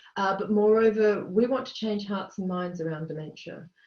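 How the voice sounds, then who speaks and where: A woman with an Australian accent, a dark, mellow tone, a somewhat breathy quality, medium pitch and fairly even intonation. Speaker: charity chief executive. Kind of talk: webinar panel talk.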